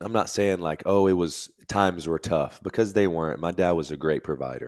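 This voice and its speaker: A man with an American accent, a very deep, low pitch and a moderate pace, against a quiet background. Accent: Alabama accent, reduced. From Alabama, US South. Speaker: Navy veteran and fitness influencer. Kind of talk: podcast interview.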